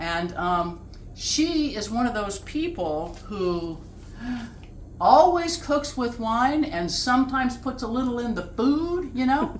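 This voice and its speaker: In a room with audible echo, a woman speaks very slowly at a high pitch with very wide pitch swings. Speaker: home cook hosting a cooking show. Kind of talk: cooking tutorial. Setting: home kitchen. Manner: casual, chatty.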